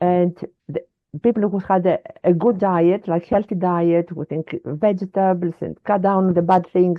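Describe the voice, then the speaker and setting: A woman with a Greek accent and a medium-pitched voice speaks at a moderate pace with fairly even intonation. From Greece. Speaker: wellness advocate. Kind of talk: interview conversation. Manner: halting.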